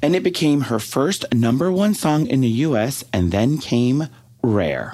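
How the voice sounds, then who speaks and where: With an American accent, a man uses an unremarkable speaking voice at medium pitch, fairly slow pace and lively intonation. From Texas. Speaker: podcast co-host. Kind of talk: casual chat.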